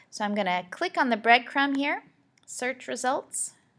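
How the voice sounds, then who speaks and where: Projecting her voice, a woman speaks at a moderate pace. Her pitch is high and her tone bright and sharp. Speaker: school librarian. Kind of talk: tutorial.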